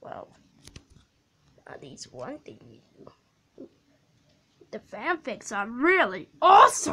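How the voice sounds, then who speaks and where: A put-on character voice, female-sounding and high-pitched, at a very slow pace with long, frequent pauses. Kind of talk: fan-made character dialogue.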